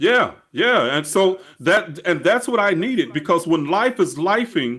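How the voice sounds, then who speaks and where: A man's high-pitched voice with lively intonation. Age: 60s. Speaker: spiritual coach. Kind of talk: interview.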